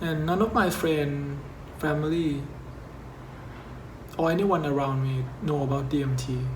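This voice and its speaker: The man's voice is fairly high-pitched with fairly even intonation, moving at a fairly slow pace with long, frequent pauses. Audible room echo and noticeable background noise surround it. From Thailand. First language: Thai. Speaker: YouTuber. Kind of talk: scripted narration.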